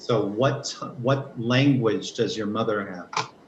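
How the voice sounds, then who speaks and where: Over noticeable background noise, a man with an American accent speaks at a very slow pace and a medium pitch. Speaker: English teacher. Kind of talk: online class lesson.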